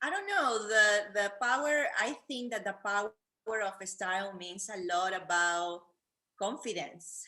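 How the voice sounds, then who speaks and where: The voice has a Peruvian accent and a bright, sharp tone. It moves at a fairly slow pace with ordinary pitch variation. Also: woman, medium pitch for a woman. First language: Spanish. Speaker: fashion influencer, wheelchair user. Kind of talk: casual interview. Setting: video call from living room. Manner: halting.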